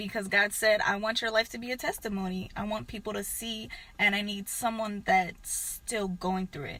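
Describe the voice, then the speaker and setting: Someone speaks quietly with an American accent. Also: woman. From southern California, Antelope Valley. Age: 20s. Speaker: YouTuber. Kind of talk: testimony.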